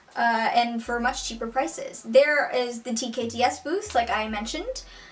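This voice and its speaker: The woman's high voice shows ordinary pitch variation, and noticeable background noise is present. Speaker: singer and video essayist. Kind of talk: video essay talk to camera. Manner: casual, rambling.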